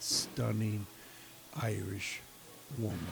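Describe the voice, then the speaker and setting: Over noticeable background noise, a man with an American accent and a fairly low pitch speaks at a very slow pace. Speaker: podcast host. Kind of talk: casual interview chat. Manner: halting.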